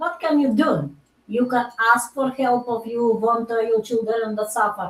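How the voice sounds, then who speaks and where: In a non-native accent, a woman talks at a fairly high pitch. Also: ordinary pitch variation, moderate pace. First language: not English. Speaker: doctor and natural healer. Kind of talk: casual chat. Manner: halting.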